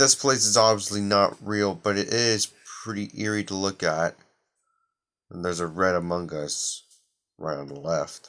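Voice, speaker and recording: On a very clean recording with a silent background, a man speaks quietly at a fairly low pitch and a moderate pace, using ordinary pitch variation and long, frequent pauses. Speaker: gaming youtuber. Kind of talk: video reaction commentary.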